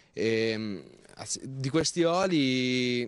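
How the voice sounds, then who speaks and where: A man talks against a quiet background. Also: dry sound with no echo. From Marche, Italy. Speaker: farmer and agritourism owner. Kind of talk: TV interview.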